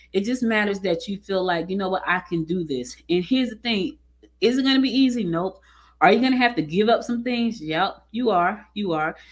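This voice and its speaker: The speaker has an American accent and lively intonation. The pace is fairly quick. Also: woman, medium pitch for a woman. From New Jersey, US. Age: 50s. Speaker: business podcast host, entrepreneur. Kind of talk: casual talk to camera. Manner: conversational, animated.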